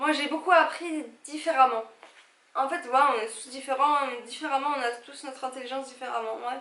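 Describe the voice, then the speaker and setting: With big swings in loudness, a woman speaks at a moderate pace in a high-pitched, bright, sharp tone. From Algeria. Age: 30s. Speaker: vlogger. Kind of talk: casual vlog talk to camera. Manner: animated.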